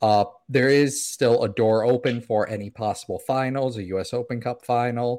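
A man with an unremarkable speaking voice and an American accent speaks at a fairly slow pace with ordinary pitch variation, in a very clean recording with a silent background. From South Florida. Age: 20s. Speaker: soccer content creator. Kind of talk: casual chat.

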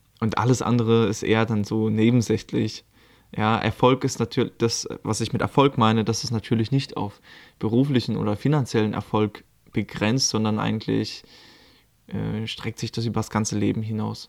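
In a very clean recording with a silent background, a man speaks at a moderate pace. His pitch is medium and his intonation monotone and flat. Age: 20s. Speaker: life coach and podcaster. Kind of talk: casual solo monologue. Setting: recording at his aunt's home in Lithuania.

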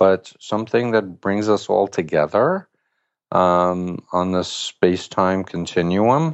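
This man has an American accent and a very deep, low pitch. He talks very slowly with ordinary pitch variation. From Queens, New York City. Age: 60s. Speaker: mental health counselor. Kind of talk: interview.

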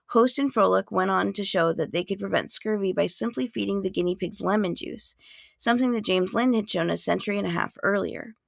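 Recorded very cleanly against a silent background, a woman talks at a fairly quick pace with a dry, close sound and no echo. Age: 40s. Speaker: podcast host. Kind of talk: educational monologue.

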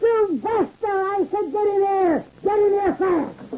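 A squeaky, put-on character voice at an extremely high pitch, delivered at a fairly slow pace. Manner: angry, sore.

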